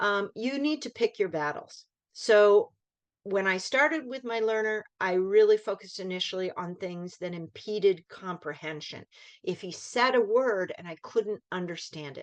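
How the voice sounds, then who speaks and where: Speaking at a moderate pace against a quiet background, a woman with a medium pitch uses lively intonation and big swings in loudness. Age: 60s. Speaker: volunteer English teacher. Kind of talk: online training presentation. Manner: hesitant, many fillers and restarts.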